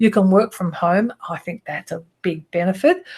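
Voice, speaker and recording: A woman with an Australian accent talks at a medium pitch, somewhat breathily. The background is quiet. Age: 60s. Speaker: image consulting business owner and trainer. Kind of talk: presentation. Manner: casual, with frequent fillers.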